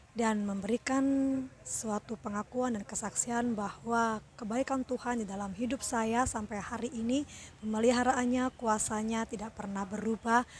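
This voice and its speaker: Soft-spoken, a woman talks at a fairly slow pace, her fairly high pitch kept in a fairly even intonation. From Indonesia, Surabaya (East Java). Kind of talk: personal testimony. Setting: outdoors at a roadside food court. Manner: soft-spoken, talking quietly.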